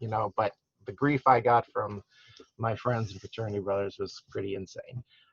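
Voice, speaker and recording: Somewhat breathy and in an American accent, the voice moves at a moderate pace with fairly even intonation and big swings in loudness, its sound dry and close with no echo. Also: man, medium pitch for a man. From US Midwest (St. Louis, Missouri). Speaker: hospital food service director. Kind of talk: guest lecture.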